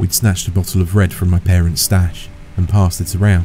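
The speech moves at a fairly quick pace, dry with no echo, with music in the background. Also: man. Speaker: horror story narrator. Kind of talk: story narration.

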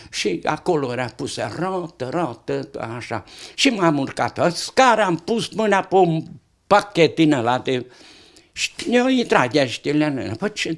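Over a quiet background, a man talks at a very slow pace, his fairly high pitch making very wide swings. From Romania, Satu Mare county (Tășnad area); Romania. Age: 80s+. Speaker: retired interviewee sharing life stories; interviewee. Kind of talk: casual chat. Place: home room. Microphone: handheld.

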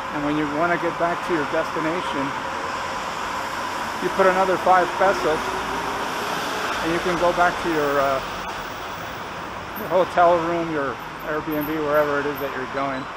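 Over loud background noise, the speech runs at a moderate pace with long, frequent pauses. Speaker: vlogger. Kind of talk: casual vlog chat. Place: station. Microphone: phone near.

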